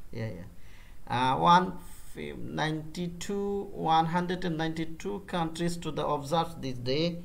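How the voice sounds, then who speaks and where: A man speaks with a Bengali accent at a fairly slow pace, using ordinary pitch variation. Audible room echo surrounds his voice. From Bangladesh. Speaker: freelance digital marketer. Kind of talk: business meeting. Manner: halting.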